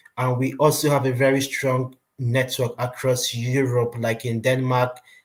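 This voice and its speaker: Over music in the background, a man with a medium pitch speaks at a moderate pace in a monotone, flat intonation. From Nigeria. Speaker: recruitment company presenter. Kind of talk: webinar presentation. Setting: online webinar.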